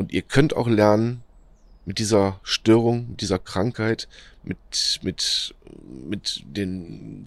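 A man with a fairly low pitch talks with ordinary pitch variation. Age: 40s. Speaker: podcaster sharing experience with depression. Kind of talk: motivational monologue. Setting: outdoors in nature. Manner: halting, many fillers.

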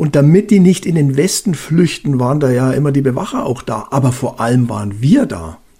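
The man talks at a fairly quick pace with hardly any pauses and lively intonation. His fairly high, somewhat breathy voice has a dark, mellow tone. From Bavaria. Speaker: retired police officer. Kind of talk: casual chat.

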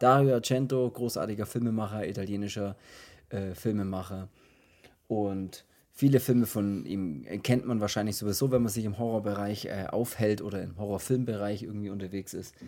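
Dark, mellow man's voice at a fairly low pitch, with fairly even intonation and a moderate pace. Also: very clean recording, silent background. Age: 30s. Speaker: horror film podcast host. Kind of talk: casual chat.

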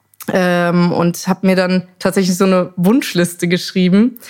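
Speaking at a fairly slow pace, a woman uses a normal speaking voice at medium pitch. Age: 30s. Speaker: singer and photographer. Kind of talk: casual chat. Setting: living room at home.

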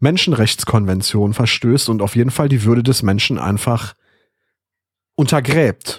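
A plain, everyday voice moves at a moderate pace with ordinary pitch variation, recorded very cleanly over a silent background. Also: man. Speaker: podcast host. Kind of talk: casual chat.

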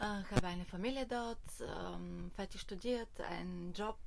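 Audible room echo surrounds a woman with a Bulgarian accent. Her pitch varies in an ordinary way. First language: Bulgarian (speaking German). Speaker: hiking tour organiser. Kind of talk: interview. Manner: halting.

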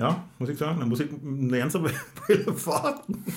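A somewhat breathy, fairly high male voice in audible room echo. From Berlin, Germany. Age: 40s. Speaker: podcast host. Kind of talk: casual chat. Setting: studio.

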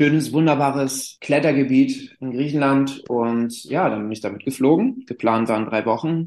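A plain, everyday voice at a moderate pace, with hardly any pauses and ordinary pitch variation, carries through the clip. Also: man, fairly high pitch for a man. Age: 30s. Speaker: climbing therapist and school sports teacher. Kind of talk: interview.

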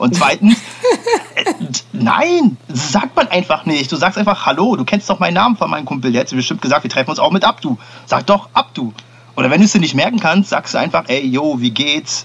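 Pitch swings very widely at a moderate pace. Noticeable background noise sits behind the voice. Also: man, high pitch for a man. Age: young. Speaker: podcast co-host. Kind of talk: casual chat. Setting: remote recording.

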